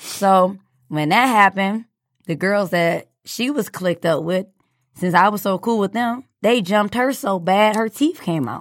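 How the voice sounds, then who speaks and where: A woman with an American accent speaks at medium pitch and a fairly slow pace, with ordinary pitch variation. She has a plain, everyday voice, heard in a very clean recording with a silent background. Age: 20s. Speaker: former student. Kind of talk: casual interview.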